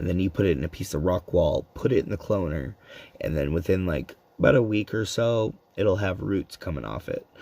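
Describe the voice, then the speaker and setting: A man with a very deep, low pitch talks at a fairly quick pace in a dark, mellow tone with vocal fry. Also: lively intonation. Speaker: live streamer. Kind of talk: casual live stream chat. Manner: slurred speech.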